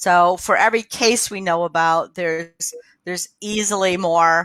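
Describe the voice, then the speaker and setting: A woman with a normal speaking voice talks at a fairly slow pace, with a fairly low pitch and fairly even intonation. The sound is dry and close with no echo, in a very clean recording with a silent background. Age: 60s. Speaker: public health officer. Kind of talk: public health briefing. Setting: livestream from home.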